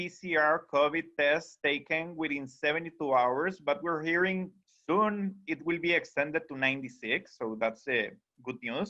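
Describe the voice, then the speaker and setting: This speaker has a bright, sharp tone and a Costa Rican accent, talking at a moderate pace with ordinary pitch variation. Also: man. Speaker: tour company sales director. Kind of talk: webinar presentation. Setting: video call.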